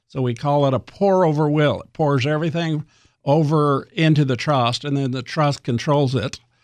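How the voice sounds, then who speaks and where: Against a quiet background, a man with a plain, everyday voice talks at a moderate pace, fairly high in pitch and with fairly even intonation. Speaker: attorney on living trusts. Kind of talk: radio interview, explanatory.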